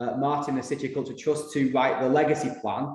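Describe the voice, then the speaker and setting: Speaking with a northern English accent at a fairly high pitch, a man is heard with audible room echo. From northern England. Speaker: consultant writing a legacy plan. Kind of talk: workshop presentation. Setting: room with audience and video call. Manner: hesitant, many fillers.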